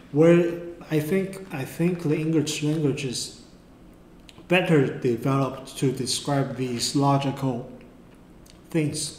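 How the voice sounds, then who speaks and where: Man with a Mandarin accent, fairly high in pitch, very slow with long, frequent pauses and fairly even intonation, in audible room echo. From Taiwan. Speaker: art tutor. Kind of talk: tutorial. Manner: halting.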